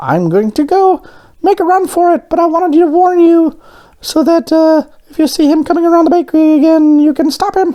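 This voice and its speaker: Squeaky and pitched extremely high, this put-on character voice runs at a fairly quick pace. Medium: read story. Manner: excitable, fast.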